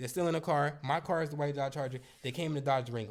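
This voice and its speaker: Speaking at a very fast pace, a man uses an animated tone. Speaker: car rental business coach. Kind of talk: storytime monologue.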